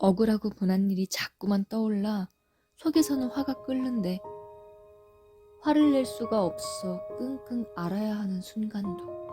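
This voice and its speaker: Music plays behind a soft-spoken woman with a medium-pitched voice and a gentle tone, who speaks at a fairly slow pace with very wide pitch swings. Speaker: ASMR sleep audiobook narrator. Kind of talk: sleep audiobook reading, soothing. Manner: gentle, soft-spoken, intimate.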